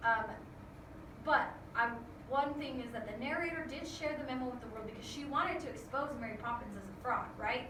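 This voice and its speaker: A woman's raised, projected, high-pitched voice, with long, frequent pauses, audible room echo and noticeable background noise. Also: ordinary pitch variation, fairly quick pace. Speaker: school teacher. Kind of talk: recorded lesson for students. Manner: fast.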